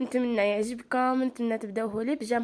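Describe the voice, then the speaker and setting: A woman with an Algerian accent speaks at a high pitch. Her tone is animated, at a moderate pace. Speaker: lifestyle vlogger. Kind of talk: vlog chat to viewers.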